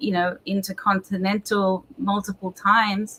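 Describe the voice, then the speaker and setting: Speaking with an Australian accent, a woman uses a medium pitch and monotone, flat intonation. Her pace is fairly slow. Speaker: pastor. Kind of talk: interview.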